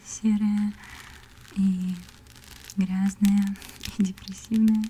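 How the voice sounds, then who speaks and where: A woman's medium-pitched voice, monotone and flat in intonation, over noticeable background noise. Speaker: ASMR content creator and artist. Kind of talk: casual talk to camera, ASMR whisper. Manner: soft, whispered, gentle.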